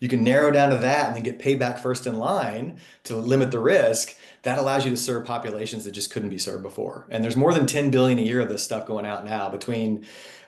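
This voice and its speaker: With an American accent, a man talks at a very fast pace and medium pitch, his pitch varying normally, in a room with audible echo. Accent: Texan, comes out when talking about home. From Texas (Sherman, small town). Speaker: fintech company CEO. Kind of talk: podcast interview. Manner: enthusiastic, animated.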